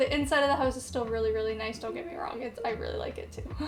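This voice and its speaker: A woman's voice with audible room echo. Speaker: video game content creator. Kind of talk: casual voiceover commentary. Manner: casual with many fillers.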